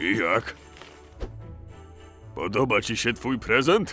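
Against clear music in the background, a man does a cartoonish character voice at medium pitch and a fairly slow pace. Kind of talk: fan dub of animated parody.

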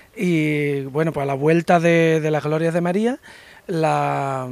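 A man's fairly high voice with an Andalusian accent, fairly even intonation and a fairly slow pace, dry with no echo. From Andalusia, Spain. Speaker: painter; interviewee. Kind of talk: interview. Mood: grateful, pleased. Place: cafe. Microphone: handheld.

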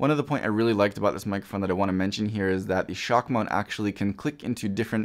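A man talks at a very fast pace with a fairly low pitch. The background is quiet. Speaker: product reviewer. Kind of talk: product review talk. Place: studio.

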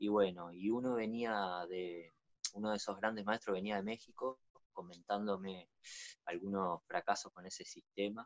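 With a Uruguayan accent, a man talks in a fairly low pitch and fairly even intonation against a quiet background. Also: moderate pace. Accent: Uruguayan Rioplatense Spanish. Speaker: natural builder. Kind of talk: interview. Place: home room. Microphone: video call.

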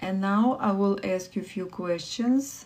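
A soft-spoken woman talks in a Russian accent. Her intonation stays fairly even. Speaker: livestream meditation host. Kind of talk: guided meditation. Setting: live stream with online viewers. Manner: soft, slow, calming guidance; warm, encouraging. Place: home room. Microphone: phone near.

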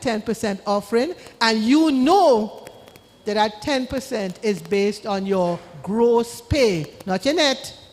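A woman's high voice with lively intonation, a fairly slow pace and noticeable background noise. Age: 70s. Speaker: law-trained speaker on wills and trusts. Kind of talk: church town hall talk with Q&A.

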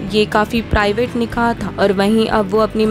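A woman's fairly high voice comes through. Music is playing in the background. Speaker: voice-over artist. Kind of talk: entertainment news voice-over.

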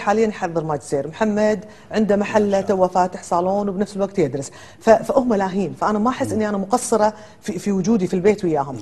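The woman speaks at a fairly quick pace. Her pitch is medium, with ordinary variation. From Kuwait. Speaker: lawyer and businesswoman; lawyer. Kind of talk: TV talk show interview. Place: studio. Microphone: lapel.

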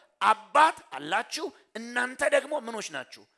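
Against a quiet background, a man uses a raised, projected voice with an extremely high pitch and a bright, sharp tone. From Ethiopia. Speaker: pastor. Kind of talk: sermon. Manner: call-and-response questioning. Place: church. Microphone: headset.

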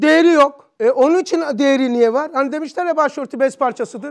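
A man at an extremely high pitch, with ordinary pitch variation and a quiet background. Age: 60s. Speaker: religious teacher. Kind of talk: religious lesson. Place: classroom. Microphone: lapel.

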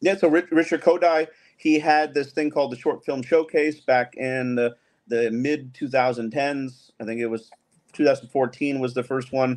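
A man's pitch varies in an ordinary way as he talks at a fairly slow pace. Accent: American. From New York, then Miami. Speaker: filmmaker; guest. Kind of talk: casual chat. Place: home room.

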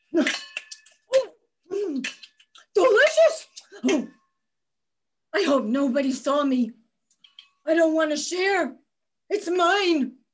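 A woman puts on a character voice at an extremely high pitch. She leaves long, frequent pauses. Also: fairly slow pace, lively intonation. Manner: whiny, demanding.

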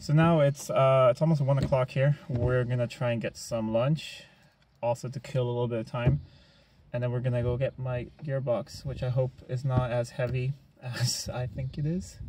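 A man's moderately paced speech over light background noise. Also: dry sound with no echo. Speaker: vlogger. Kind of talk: casual vlog chat. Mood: relaxed, cheerful. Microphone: camera far.

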